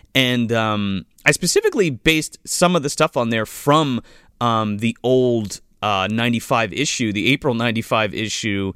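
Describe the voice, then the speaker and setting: The clip of a man speaking is a very clean recording with a silent background. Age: 30s. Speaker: movie podcast host. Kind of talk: casual chat.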